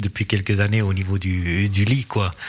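A somewhat breathy man with a Vaud accent. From Switzerland, Vaud region. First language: English or Swiss German (speaking French). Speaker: ice hockey league official and school dean. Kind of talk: casual chat.

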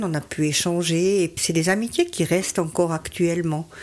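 This woman's voice is fairly low. She speaks at a moderate speed. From Switzerland, Valais. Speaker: amateur runner. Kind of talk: radio interview. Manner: hesitant, many fillers.

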